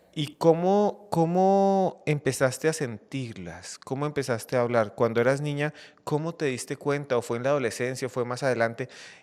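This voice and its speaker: A man with a normal speaking voice, fairly high in pitch, lively in intonation, with hardly any pauses, on a very clean recording with a silent background. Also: moderate pace. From Colombia. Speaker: podcast host. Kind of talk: interview.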